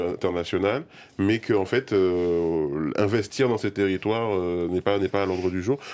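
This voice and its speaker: This man talks in a normal speaking voice, fairly low in pitch and moderate in pace. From Guadeloupe. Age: 30s. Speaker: video game creator. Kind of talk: debate. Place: studio.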